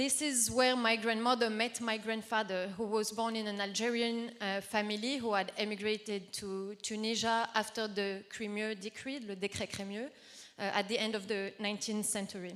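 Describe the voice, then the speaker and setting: A woman speaks at a moderate pace with hardly any pauses. Her fairly high voice has monotone, flat intonation. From southern France. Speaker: activist panelist. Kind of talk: conference talk.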